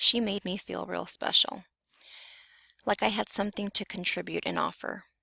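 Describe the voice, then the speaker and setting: Long, frequent pauses break up this woman's speech. Her pace is moderate. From Southern California (Carson, near Compton). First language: Spanish. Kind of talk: personal narrative presentation.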